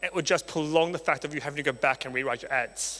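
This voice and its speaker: A man with an Australian accent speaks in a fairly high pitch with a bright, sharp tone and ordinary pitch variation. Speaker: marketing agency founder, conference speaker. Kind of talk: conference talk. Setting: stage with audience.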